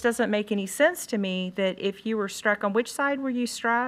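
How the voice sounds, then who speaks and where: The recording is very clean, and the background is silent. A woman talks at a moderate pace, her pitch varying in an ordinary way. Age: 60s. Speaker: school board member. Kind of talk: board hearing questioning. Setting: board meeting room. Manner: halting.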